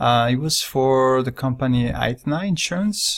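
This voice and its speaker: A man speaks in a French accent. The recording is very clean, with a silent background. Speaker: director and illustrator. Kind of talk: casual walkthrough of own work. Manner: halting, with fillers.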